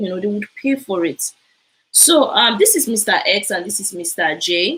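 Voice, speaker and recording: A woman speaks in a Nigerian accent. Her intonation is lively and her pace moderate. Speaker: immigration info presenter. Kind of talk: live stream talk. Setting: live broadcast. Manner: animated.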